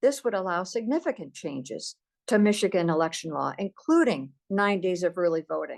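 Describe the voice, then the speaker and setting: Heard against a quiet background, this voice moves at a moderate pace with very wide pitch swings, and the sound is dry and close with no echo. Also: woman, medium pitch for a woman. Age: 60s. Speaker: activist. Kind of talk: political advocacy talk.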